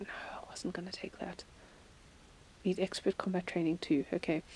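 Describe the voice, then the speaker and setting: A woman with a South African accent, medium pitch and a dark, mellow tone in a monotone, flat intonation, in a dry, close sound with no echo. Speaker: gaming streamer. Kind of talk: casual gameplay commentary.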